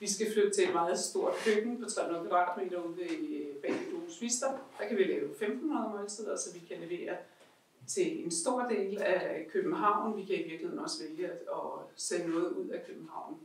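A woman speaks at a moderate pace with a fairly high pitch and very wide swings in pitch. There is audible echo from the room. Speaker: charity leader; speaker. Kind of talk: casual chat. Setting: stage with audience. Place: home room. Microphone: camera far.

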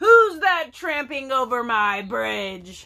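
A woman's put-on character voice, high in pitch and at a very slow pace

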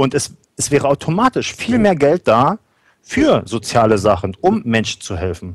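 This man talks at a moderate pace in a fairly high pitch, with very wide pitch swings and vocal fry. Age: 30s. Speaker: guest, trainee alternative practitioner. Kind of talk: panel discussion.

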